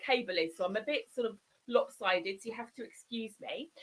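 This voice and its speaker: With a southern English accent, a woman speaks in a fairly high, bright, sharp tone that is animated, with ordinary pitch variation. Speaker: digital marketing consultant. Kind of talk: live broadcast presentation. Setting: live stream. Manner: fast.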